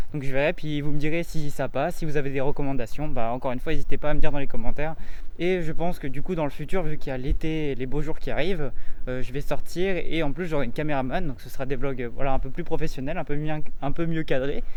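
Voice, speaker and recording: Pitched fairly high, a man speaks at a very fast pace. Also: fairly even intonation. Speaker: YouTuber, vlogger. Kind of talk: casual vlog talk. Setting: outdoors, walking in the street. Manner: halting, stammering, searching for words.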